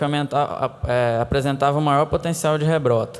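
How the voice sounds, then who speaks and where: This is a man speaking. His pitch is fairly high. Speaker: conference presenter. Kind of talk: conference Q&A. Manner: halting.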